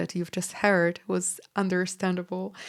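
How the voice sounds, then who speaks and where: A woman's fairly low voice with a Polish accent, at a fairly slow pace, in a very clean recording with a silent background. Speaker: podcast host and pianist. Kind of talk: educational podcast talk. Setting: home studio with piano.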